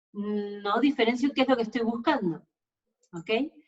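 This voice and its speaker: Speaking at a moderate pace, a woman with an Argentine accent has a fairly high pitch. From Argentina. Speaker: sports nutritionist. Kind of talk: webinar lecture. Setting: online webinar.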